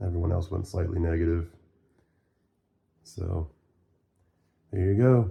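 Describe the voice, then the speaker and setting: At a moderate pace, a man speaks with a very deep, low pitch, somewhat breathy and dark, mellow in tone. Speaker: gaming youtuber. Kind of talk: gameplay commentary. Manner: casual.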